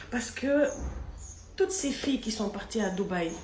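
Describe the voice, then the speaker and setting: Noticeable background noise and audible room echo accompany a woman speaking. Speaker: vlogger. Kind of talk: video commentary. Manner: louder than before; soft-spoken.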